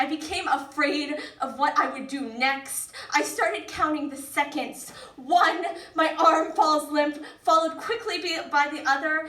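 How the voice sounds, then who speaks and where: A woman with a raised, projected voice speaks at a high pitch and a fairly slow pace, with ordinary pitch variation, over noticeable background noise. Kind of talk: spoken word poetry performance.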